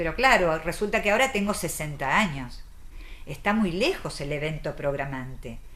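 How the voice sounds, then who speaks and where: Her fairly low voice swings very widely in pitch at a moderate pace, with audible room echo around the woman. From Argentina. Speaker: psychoanalyst and author. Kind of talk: interview.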